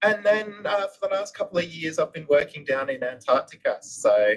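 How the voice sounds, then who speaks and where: A man with an Australian accent. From Western Australia (Perth). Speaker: science support technician. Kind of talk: self-introduction on livestream.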